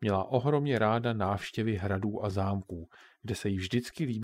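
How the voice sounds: The pitch of this natural reading voice varies in an ordinary way.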